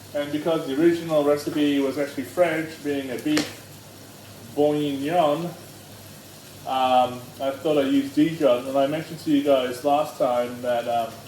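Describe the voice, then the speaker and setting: A man with a fairly high pitch speaks at a moderate pace with fairly even intonation. Audible room echo and noticeable background noise are present. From Australia. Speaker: home cooking show host. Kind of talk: cooking tutorial. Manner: loud; hesitant, many ums.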